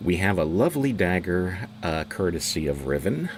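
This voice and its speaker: A man speaks at a very deep, low pitch with vocal fry. His pace is fairly slow and his intonation lively. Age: 60s. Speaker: tour guide. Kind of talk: guided tour. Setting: live stream. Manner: halting.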